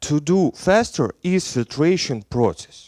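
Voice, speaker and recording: A man's high voice with very wide pitch swings and a slight Belarusian accent, in a very clean recording with a silent background and a dry, close sound with no echo. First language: Russian. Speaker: software engineer. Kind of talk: conference talk. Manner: halting.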